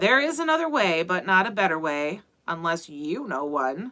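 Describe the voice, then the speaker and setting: A woman's put-on character voice, drawling at a moderate pace with a medium pitch. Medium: read story. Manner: drawling, sardonic.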